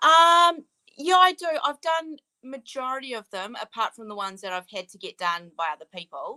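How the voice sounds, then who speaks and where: In a New Zealand accent, a woman speaks fairly quickly with a fairly high, bright, sharp voice and very wide pitch swings, the sound dry and close with no echo. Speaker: author. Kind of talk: interview. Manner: casual, hesitant with many ums.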